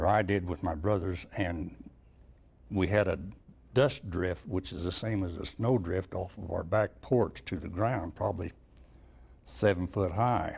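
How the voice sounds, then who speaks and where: A man's very deep, low pitch, somewhat breathy, with ordinary pitch variation, a fairly slow pace and long, frequent pauses. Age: 80s+. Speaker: elderly eyewitness. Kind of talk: oral history interview.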